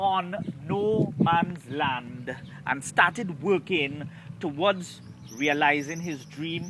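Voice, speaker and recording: Noticeable background noise sits behind a man with a Trinidadian accent. He has a high pitch and talks at a very slow pace. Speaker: storyteller and stage MC. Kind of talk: casual reading of history to camera.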